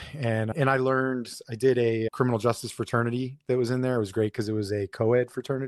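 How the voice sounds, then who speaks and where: A man with a plain, everyday voice speaks at a medium pitch. His pace is fairly quick against a quiet background. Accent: American. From South Florida, Fort Lauderdale area. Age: 40s. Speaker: police officer. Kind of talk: casual interview.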